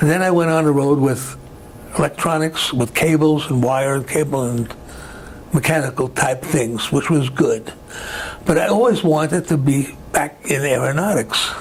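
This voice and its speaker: Over noticeable background noise, a man with a New York accent speaks at a fairly high pitch with very even loudness. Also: ordinary pitch variation, moderate pace. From Brooklyn, New York. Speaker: retired aircraft worker, war veteran. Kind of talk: oral history interview answer.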